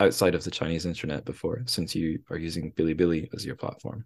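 This man has a British accent. His pitch is very deep and low. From UK. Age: 30s. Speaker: podcast host. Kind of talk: casual chat.

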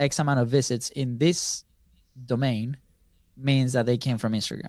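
A man's normal speaking voice, medium in pitch with ordinary pitch variation, at a moderate pace on a very clean recording with a silent background. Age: 30s. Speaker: business co-founder, content marketer. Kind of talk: interview.

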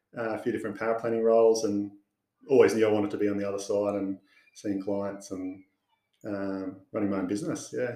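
A man talks very fast with an Australian accent, his pitch fairly low. His tone is dark and mellow, and his intonation fairly even. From Sydney, Australia. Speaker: financial adviser. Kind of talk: casual interview.

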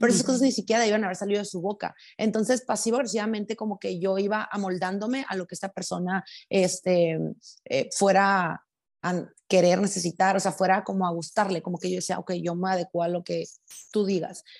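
A woman with a northern Mexican accent, medium-pitched, fairly quick, with fairly even intonation over a quiet background. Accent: northern Mexican (norteña). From Mexico, Sinaloa (Los Mochis). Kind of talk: casual chat.

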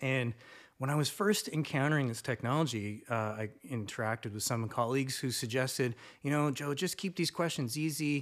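Recorded very cleanly against a silent background, a man with a plain, everyday voice speaks in a Canadian accent at a medium pitch with ordinary pitch variation. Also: moderate pace. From Canada. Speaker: university instructor. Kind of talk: casual chat.

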